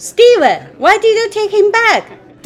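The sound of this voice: A cartoonish character voice moves at a fairly slow pace with ordinary pitch variation. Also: woman, extremely high pitch for a woman.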